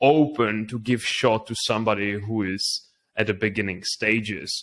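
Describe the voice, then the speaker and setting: Speaking at a moderate pace with a Czech accent, a man keeps a medium pitch and fairly even intonation. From Czech Republic. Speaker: entrepreneur. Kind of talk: interview.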